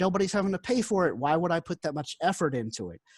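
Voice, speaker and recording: A man with a high pitch speaks in a Carolina accent with lively intonation. The recording is very clean with a silent background and a dry, close sound free of echo. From South Carolina. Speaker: job applicant, former newspaper reporter. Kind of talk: job interview.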